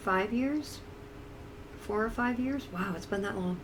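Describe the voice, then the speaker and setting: With an American accent, a woman speaks fairly slowly at a fairly high pitch with ordinary pitch variation, amid noticeable background noise and audible room echo. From upstate New York. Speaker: streamer. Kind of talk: casual live-stream chat. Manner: hesitant, repetitive.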